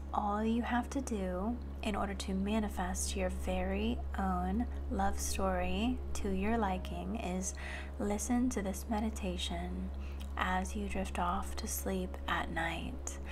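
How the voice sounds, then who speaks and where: Amid noticeable background noise, a woman with a very deep, low pitch speaks at a very slow pace, with very even loudness and a monotone, flat intonation. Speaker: manifestation coach. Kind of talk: guided meditation intro.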